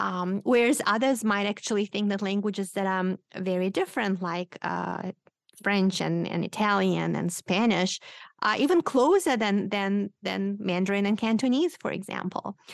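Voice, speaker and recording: A woman with a Romanian accent speaks at a moderate pace and a medium pitch, with ordinary pitch variation, in a dry, close recording with no echo against a quiet background. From Moldova. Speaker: linguistics professor and author. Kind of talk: radio interview, explanatory conversation.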